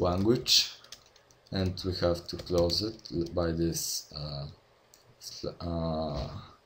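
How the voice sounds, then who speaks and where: Speaking at a very slow pace with a Bulgarian accent, the speaker leaves long, frequent pauses. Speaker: game development tutorial maker. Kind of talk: tutorial. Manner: halting, many fillers. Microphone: poor audio quality from own mic.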